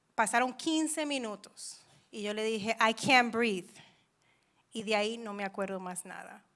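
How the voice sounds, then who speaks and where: A woman with an English accent, fairly high pitch and ordinary pitch variation, a bright, sharp tone, a fairly slow pace with long, frequent pauses, and big swings in loudness, against a quiet background. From New York, Dominican family. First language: English (speaking Spanish). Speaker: churchgoer giving testimony; speaker. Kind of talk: testimony. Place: church. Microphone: handheld.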